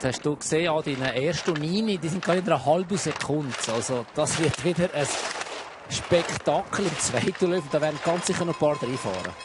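In a relaxed, enthusiastic tone, a speaker with a Swiss accent talks at a fairly quick pace with ordinary pitch variation over noticeable background noise. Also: man, fairly high pitch for a man. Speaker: expert co-commentator, ski analyst. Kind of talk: live sports commentary, technical expert analysis. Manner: relaxed, conversational, enthusiastic.

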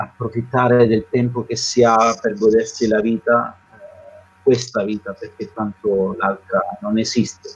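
This man talks at a very slow pace in a medium pitch. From southern Italy (Calabria); southern Italy. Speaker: missionary priest. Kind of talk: testimony. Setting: video call. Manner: halting. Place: home room. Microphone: video call.

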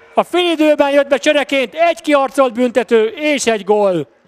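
A man's voice makes very wide pitch swings. The sound is dry and close, with no echo. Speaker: sports news reporter. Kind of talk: news reading. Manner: formal.

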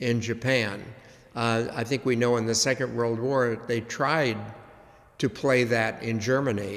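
This man talks with fairly even intonation. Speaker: priest giving a history class. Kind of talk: lecture. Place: church. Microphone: podium.

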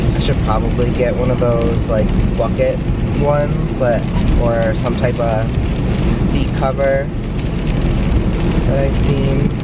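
Loud background noise and a dry male voice with no echo. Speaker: vlogger driving. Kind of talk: casual vlog chat. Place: car. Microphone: phone near.

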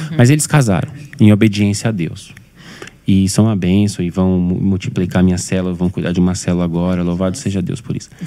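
Pitch varies in an ordinary way as the speech moves along fairly quickly. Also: man, very deep, low pitch for a man. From São Paulo periphery, Brazil; São Paulo, Brazil. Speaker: pastor. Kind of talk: casual chat. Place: studio. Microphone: studio mic.

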